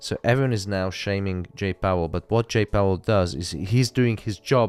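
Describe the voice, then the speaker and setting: A man's fairly low voice with a non-native accent and ordinary pitch variation. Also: dry, close sound with no echo. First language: not English. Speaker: live trading streamer. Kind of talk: live stream casual chat.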